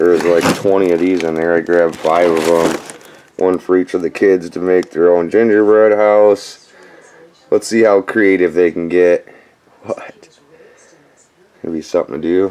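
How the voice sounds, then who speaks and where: With long, frequent pauses, a man speaks at a moderate pace in a very deep, low pitch and a monotone, flat intonation. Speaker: dumpster diving vlogger. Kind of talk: casual vlog chat. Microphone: phone near.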